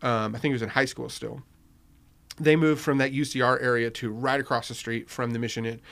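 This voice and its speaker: Speaking in a normal speaking voice with an American accent, a man talks at a medium pitch and a fairly quick pace with fairly even intonation, on a very clean recording with a silent background. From Riverside, California (US West Coast). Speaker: newspaper founder. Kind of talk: casual chat. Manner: conversational, filler-heavy.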